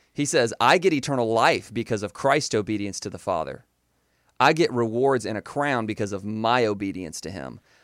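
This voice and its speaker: A man with a Southern US accent at a medium pitch and moderate pace, lively intonation and big swings in loudness, on a very clean recording with a silent background. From US South, Florida Panhandle. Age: 20s. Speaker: former fundamentalist Baptist, preacher's kid. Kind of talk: interview testimony. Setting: radio studio.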